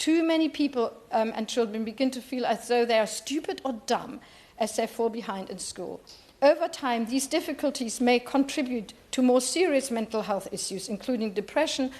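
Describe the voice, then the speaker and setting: A woman speaks in a German accent at a moderate pace. Her high pitch shows ordinary variation. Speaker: member of parliament. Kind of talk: parliamentary debate speech. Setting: parliament chamber. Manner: halting.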